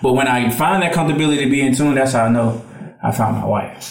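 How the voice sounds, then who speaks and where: There is noticeable background noise as a man talks at a medium pitch with ordinary pitch variation. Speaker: podcast co-host. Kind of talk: casual chat.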